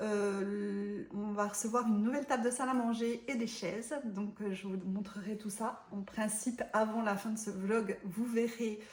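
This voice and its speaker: A woman speaks fairly slowly at a fairly high pitch with fairly even intonation, over noticeable background noise. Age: 40s. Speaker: vlogger. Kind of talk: casual vlog talk to camera. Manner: hesitant, many filler sounds.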